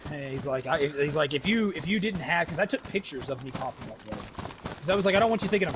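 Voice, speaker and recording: A loud, very fast man's voice with lively intonation, fairly high pitch and noticeable background noise. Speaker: gaming streamer. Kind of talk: casual chat while gaming.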